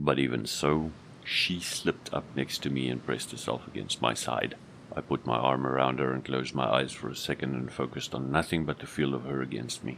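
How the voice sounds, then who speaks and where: Fairly quick speech with fairly even intonation over noticeable background noise. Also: man, very deep, low pitch for a man. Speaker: voice actor, audiobook narrator. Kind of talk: audiobook narration.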